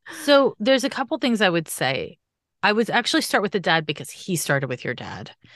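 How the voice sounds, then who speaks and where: A woman with a fairly high pitch and vocal fry swings her pitch very widely against a quiet background. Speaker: astrologer, psychic medium and animal communicator. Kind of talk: animal communication reading. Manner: loud.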